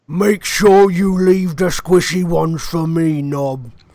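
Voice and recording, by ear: Putting on a character voice, a man talks at a fairly slow pace with a high pitch.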